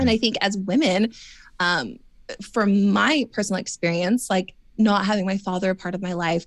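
On a very clean recording with a silent background, a woman speaks at a medium pitch and moderate pace with ordinary pitch variation. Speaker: former reality TV contestant. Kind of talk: casual interview chat. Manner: chatty, filler-heavy.

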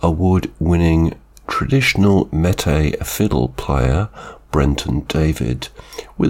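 A man speaks at a very slow pace with a very deep, low pitch, very even loudness and ordinary pitch variation, over noticeable background noise. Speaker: radio music show host. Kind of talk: radio DJ links between songs. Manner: brief, minimal speech.

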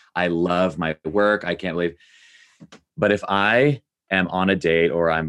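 A man's very deep, low voice with ordinary pitch variation, dry and close with no echo. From US South, Nashville, Tennessee. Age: 30s. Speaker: writer. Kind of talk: interview conversation. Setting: sitting down together for interview.

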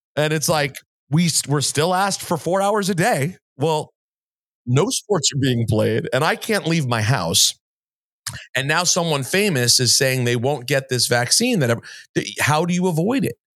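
This man has a normal speaking voice, fairly high in pitch, with lively intonation and very even loudness. He goes at a fairly slow pace in a very clean recording with a silent background. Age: 40s. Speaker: sports and music radio host, podcaster. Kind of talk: interview conversation.

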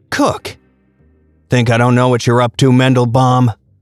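Over faint background music, someone performs a put-on character voice. The pitch is low-to-middle and the pace moderate. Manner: menacing, gruff.

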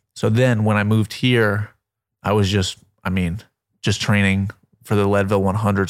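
Speaking at a moderate pace and fairly low pitch, a man with an American accent uses a monotone, flat intonation and very even loudness. Long, frequent pauses break his speech, and the recording is very clean with a silent background. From Florida, Melbourne Beach. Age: 20s. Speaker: pilot and wellness creator. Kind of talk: casual chat.

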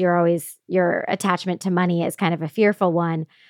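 On a very clean recording with a silent background and a dry, close sound with no echo, a woman with a Midwestern American accent speaks at a moderate pace and a fairly low pitch. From Indiana, US Midwest. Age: 30s. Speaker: podcast host. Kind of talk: casual interview chat.

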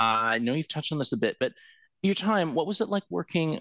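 In a very clean recording with a silent background, a man with a fairly high pitch speaks in very wide pitch swings, the sound dry and close with no echo. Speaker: co-host and headlines presenter. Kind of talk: casual chat.

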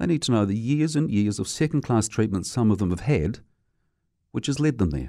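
At a fairly quick pace, a man with a dark, mellow, medium-pitched voice makes very wide pitch swings in a very clean recording with a silent background. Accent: New Zealand. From New Zealand. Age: middle-aged. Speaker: radio commentator. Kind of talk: opinion monologue. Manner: animated.

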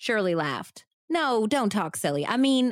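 An unforced reading voice, lively in intonation, over a quiet background

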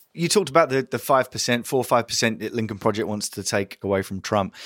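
A man speaks at a very fast pace with an English accent. The recording is very clean and dry, close-miked with no echo and a silent background. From England. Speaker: podcast host. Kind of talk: interview.

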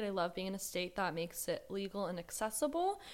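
A woman with an American accent and an unremarkable speaking voice, medium in pitch, at a fairly quick pace, on a very clean recording with a silent background. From US South, Georgia. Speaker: author and columnist. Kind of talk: casual interview chat.

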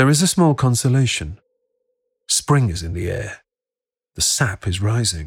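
Somewhat breathy, a man's voice comes through. The recording is very clean with a silent background. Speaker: documentary narrator. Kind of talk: history documentary narration. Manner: dramatic, present-tense storytelling; measured, grave, wry.

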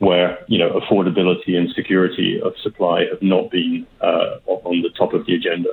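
A man with a British accent talks at a fairly quick pace with hardly any pauses. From Britain. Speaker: energy policy expert. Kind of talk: radio interview. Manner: hesitant, fills with 'um'.

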